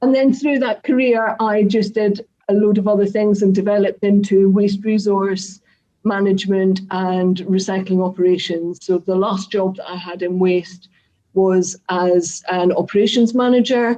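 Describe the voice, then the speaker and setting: A woman with a strong Scottish accent speaks at medium pitch in a dark, mellow tone with fairly even intonation. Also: moderate pace. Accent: Scottish, thick. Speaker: craft business owner. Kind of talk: online talk to a live audience.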